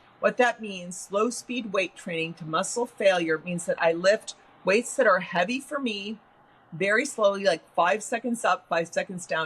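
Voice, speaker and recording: A woman's medium-pitched, animated voice at a moderate pace, with ordinary pitch variation and noticeable background noise. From US Midwest. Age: 60s. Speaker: science writer. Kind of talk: interview.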